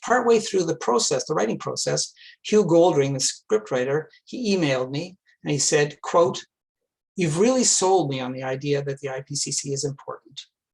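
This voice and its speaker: An unremarkable speaking voice from a man with a Canadian accent, pitched fairly high. He keeps a moderate pace with lively intonation. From Quebec, Montreal. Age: 60s. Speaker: climate activist, retired engineer. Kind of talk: talk to a club.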